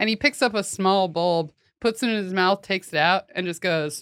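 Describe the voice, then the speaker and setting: In a plain, everyday voice with an American accent, the speaker goes at a moderate pace on a very clean, dry, close recording with a silent background and no echo. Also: woman. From US Pacific Northwest, Washington state (Olympia area). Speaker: comedy podcast co-host. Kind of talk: casual chat.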